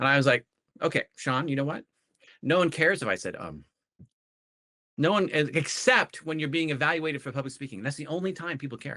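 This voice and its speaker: A man's fairly high, bright, sharp voice with vocal fry, ordinary pitch variation, a fairly quick pace, and long, frequent pauses. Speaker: educator and learning coach. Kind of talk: conversational podcast discussion. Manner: fast; halting, many fillers and restarts.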